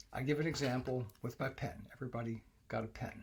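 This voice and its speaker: Somewhat breathy man's voice, medium pitch, moderate pace. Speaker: English test coach for medical graduates. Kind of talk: tutorial.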